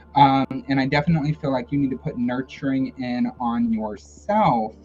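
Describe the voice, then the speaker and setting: With music in the background, a man speaks at a moderate pace and medium pitch, his pitch varying in an ordinary way. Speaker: tarot reader. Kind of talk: live stream tarot reading. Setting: live stream.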